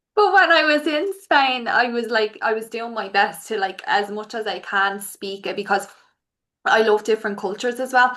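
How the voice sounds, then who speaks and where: In an Irish accent, a bright, sharp voice moves at a moderate pace with ordinary pitch variation. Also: woman, fairly high pitch for a woman. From Ireland. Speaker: podcast host. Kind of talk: casual interview chat.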